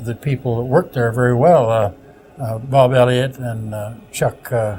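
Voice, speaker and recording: With a Canadian accent, a man talks over noticeable background noise. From Ontario, Canada (Sault Ste. Marie). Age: 70s. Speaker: retired broadcaster. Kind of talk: interview. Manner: halting.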